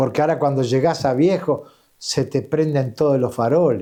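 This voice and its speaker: A man speaks with a dark, mellow tone and lively intonation over a quiet background. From Uruguay, Empalme Olmos (Canelones). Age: 70s. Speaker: interviewee sharing life story. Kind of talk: interview.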